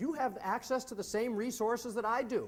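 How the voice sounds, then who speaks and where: A loud man with an American accent, at a fairly quick pace. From US Midwest, Wisconsin. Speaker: Civil War historian and educator. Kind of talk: lecture. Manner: animated.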